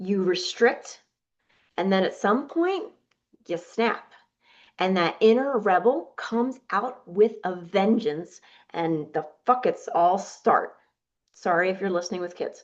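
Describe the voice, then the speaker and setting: A woman with an American accent speaks fairly slowly at medium pitch, her tone animated and her intonation lively, with long, frequent pauses. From New Jersey. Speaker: weight loss coach and podcast host. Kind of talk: podcast monologue.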